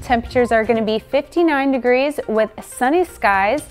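A high-pitched woman's voice at a moderate pace with ordinary pitch variation, faint music in the background. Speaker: broadcast meteorologist. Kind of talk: TV weather forecast. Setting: studio. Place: studio.

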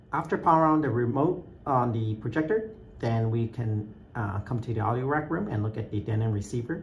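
A man speaks with ordinary pitch variation while noticeable background noise continues behind him. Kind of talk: tutorial. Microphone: phone near.

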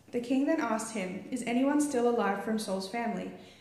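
At a fairly quick pace, a woman speaks with a fairly high pitch and ordinary pitch variation, with audible room echo around her. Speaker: church member reading scripture. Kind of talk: reading aloud. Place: church. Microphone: handheld.

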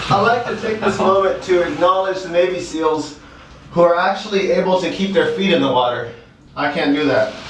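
Light background noise and audible room echo surround a man speaking at a high pitch with ordinary pitch variation. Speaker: vlogger. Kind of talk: casual vlog chat. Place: bathroom. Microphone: camera far.

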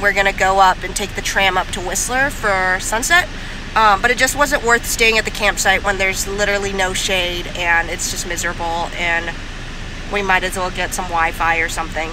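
Talking at a moderate pace, a woman comes through a dry sound with no echo, though noticeable background noise is present. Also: ordinary pitch variation. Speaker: travel vlogger. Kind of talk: casual vlog chat. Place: car. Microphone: phone near.

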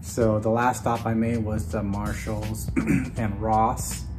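Clear music sits behind a man speaking at a fairly low pitch. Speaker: jersey collector vlogger. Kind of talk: casual vlog chat. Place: home room. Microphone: camera far.

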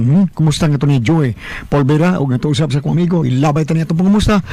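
Noticeable background noise sits behind a man speaking at a very fast pace in a fairly high pitch. His pitch varies in an ordinary way and his loudness stays very even. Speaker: radio host. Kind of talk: radio show intro with ads and shout-outs.

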